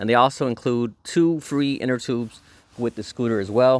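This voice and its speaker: A man with ordinary pitch variation in a dry sound with no echo. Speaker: product reviewer. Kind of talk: product review commentary. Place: garden. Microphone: phone near.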